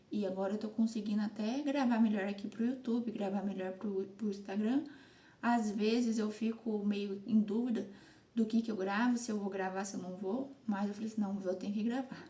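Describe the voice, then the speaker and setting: This woman's pitch is fairly high, and her intonation is fairly even. She speaks at a moderate pace. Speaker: content creator / vlogger. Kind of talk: casual vlog monologue. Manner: halting.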